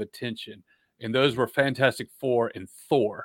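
With an unremarkable speaking voice, a man talks at a moderate pace and medium pitch, the sound dry and close with no echo on a very clean recording with a silent background. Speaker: video producer and fantasy author. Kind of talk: casual chat.

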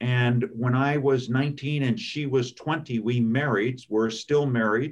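A man speaks in an American accent at a medium pitch. His delivery is very slow, with fairly even intonation. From California, outside Los Angeles. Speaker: lawyer. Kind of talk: interview.

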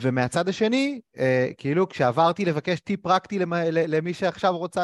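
A normal speaking voice with lively intonation at a moderate pace, dry and close with no echo, against a quiet background. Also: man. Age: 30s. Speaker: interviewer, career coach. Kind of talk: interview.

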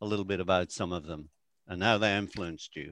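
A man talks at a fairly quick pace in a plain, everyday voice, with ordinary pitch variation. The background is quiet. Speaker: photography business coach, co-host. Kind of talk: casual interview chat.

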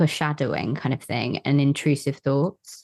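A woman with an English accent speaks at a fairly slow pace, her pitch very deep and low and her tone dark and mellow. The sound is dry and close, with no echo. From England. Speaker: podcast guest, spiritual seeker. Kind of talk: casual chat. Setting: video call. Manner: hesitant.

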